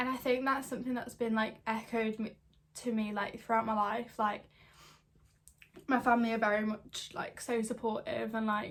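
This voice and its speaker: At a moderate pace, a woman speaks in a somewhat breathy voice with monotone, flat intonation. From northern England, St Helens area near Liverpool. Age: 20s. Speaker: vlogger. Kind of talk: casual chat. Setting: sitting on bed in student flat. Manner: chatty, many fillers.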